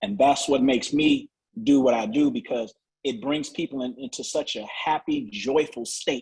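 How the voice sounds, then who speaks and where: A man with a fairly high pitch speaks at a moderate pace. His pitch swings very widely. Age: 50s. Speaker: naturopathic doctor. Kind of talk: sales pitch.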